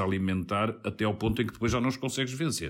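A man with ordinary pitch variation, on a very clean recording with a silent background. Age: middle-aged. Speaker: radio political podcast host. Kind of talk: political panel discussion.

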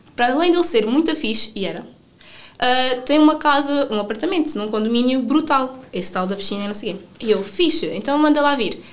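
Speaking in a European Portuguese accent at a fairly quick pace with hardly any pauses, the voice carries lively intonation amid noticeable background noise and audible room echo. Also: woman, high pitch for a woman. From Portugal, Sines. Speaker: traveller. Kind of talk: interview.

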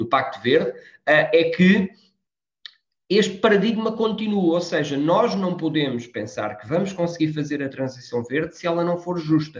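Lively intonation carries talking that keeps to a moderate pace. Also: man. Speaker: politician. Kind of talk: interview. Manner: halting.

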